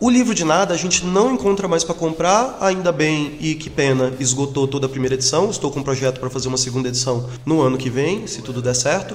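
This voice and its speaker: Noticeable background noise accompanies a man's voice. He moves fairly quickly, and his pitch swings very widely. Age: 40s. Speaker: singer, DJ and radio host. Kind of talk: interview.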